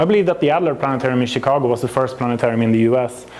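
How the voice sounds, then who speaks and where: A Swedish accent over noticeable background noise. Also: man. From Sweden. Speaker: planetarium software company representative, astrophysicist. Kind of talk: presentation to an audience. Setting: venue with audience.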